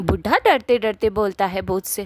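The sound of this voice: A woman speaks at a moderate pace and medium pitch, the sound dry and close with no echo.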